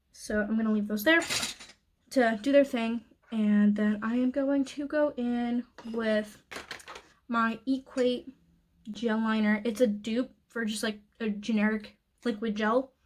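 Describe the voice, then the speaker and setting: The voice is somewhat breathy, moving at a fairly slow pace with fairly even intonation. Long pauses come often. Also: woman, fairly high pitch for a woman. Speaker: beauty youtuber. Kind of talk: makeup tutorial voiceover. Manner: frantic.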